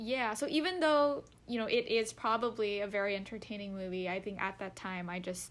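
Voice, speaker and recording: This woman has an ordinary speaking voice, with a medium pitch, ordinary pitch variation and a moderate pace. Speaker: podcast co-host. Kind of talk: podcast conversation.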